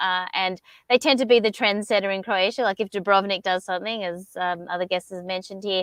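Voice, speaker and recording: On a dry, close recording with no echo and a quiet background, a woman in an Australian accent talks at a fairly quick pace, with a medium pitch and fairly even intonation. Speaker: co-working space founder. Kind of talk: panel discussion.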